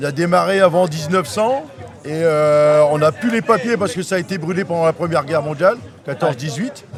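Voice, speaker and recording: A man with a high pitch speaks at a moderate pace with ordinary pitch variation. Noticeable background noise is present. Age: 60s. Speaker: sports club president. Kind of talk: casual interview.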